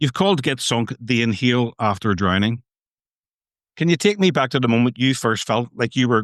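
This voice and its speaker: A man with a plain, everyday voice talks at a fairly quick pace and a medium pitch, with ordinary pitch variation and very even loudness. The sound is dry and close with no echo, over a quiet background. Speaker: podcast host. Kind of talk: podcast intro and interview questions.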